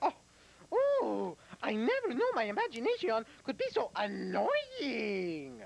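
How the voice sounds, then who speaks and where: Someone performs a cartoonish character voice at a fairly slow pace. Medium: puppet. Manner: smug, self-satisfied.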